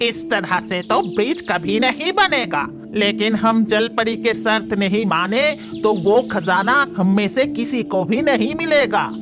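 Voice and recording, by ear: Over loud background music, a cartoonish character voice with fairly high pitch moves at a moderate pace.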